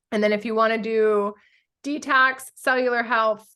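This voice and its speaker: A woman is speaking. Her tone is bright and sharp. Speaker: essential oils workshop presenter. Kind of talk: online workshop presentation. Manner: fast.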